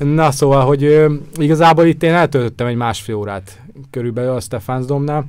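Talking at a fairly quick pace, a man with a plain, everyday voice has a fairly high pitch and ordinary pitch variation. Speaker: photographer. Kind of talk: casual chat. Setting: studio.

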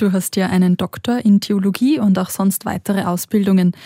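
A woman with a medium-pitched, somewhat breathy voice speaks at a moderate pace in a dark, mellow tone with fairly even intonation. The sound is dry and close with no echo, on a very clean recording with a silent background. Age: young. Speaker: podcast co-host, religious educator. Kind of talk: interview.

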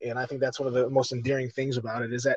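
A man talks with an American accent at medium pitch. His intonation is monotone and flat. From Chicago. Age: 40s. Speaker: actor and fight commentator. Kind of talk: casual interview chat.

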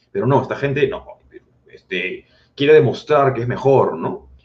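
A man with a somewhat breathy voice. His pitch swings very widely. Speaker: political commentator. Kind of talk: casual chat.

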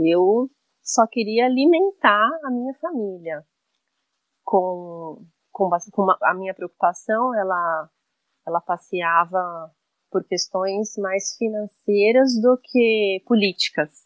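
Pitch varies in an ordinary way while the words come very slowly. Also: woman, medium pitch for a woman. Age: 40s. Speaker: cook and agroecology advocate. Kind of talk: interview conversation.

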